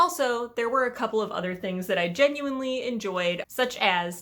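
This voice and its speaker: A woman talks in an animated tone that is bright and sharp. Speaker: book reviewer. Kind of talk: rant review.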